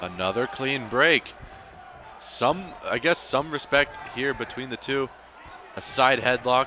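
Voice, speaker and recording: Very slow male speech at a medium pitch, broken by long, frequent pauses, over noticeable background noise. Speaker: esports wrestling commentator and league owner. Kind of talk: live commentary. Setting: live stream. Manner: monotone.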